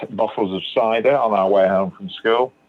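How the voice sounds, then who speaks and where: With music in the background, a man's speech moves at a moderate pace. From northern England, Manchester. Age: 60s. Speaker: recovering alcoholic sharing his story. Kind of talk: testimony.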